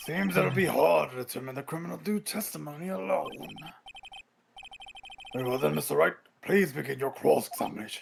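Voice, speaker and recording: A man puts on a raspy character voice at a medium pitch. He moves at a fairly quick pace, with long, frequent pauses. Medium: game stream. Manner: formal, measured.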